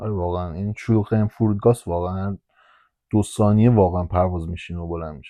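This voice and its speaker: This man's pitch is very deep and low. He talks at a very fast pace. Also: big swings in loudness. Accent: Hamadani. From Iran, Hamadan. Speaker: airport ramp agent. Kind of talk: casual guided tour while driving. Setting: in a vehicle at the airport.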